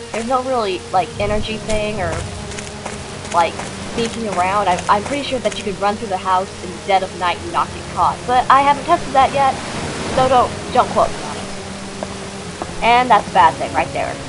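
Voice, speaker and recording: A woman speaks at a fairly quick pace in a fairly high voice with lively intonation. Her loudness swings widely over noticeable background noise. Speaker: let's play commentator. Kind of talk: casual let's play commentary. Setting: built-in laptop microphone with background noise. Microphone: webcam.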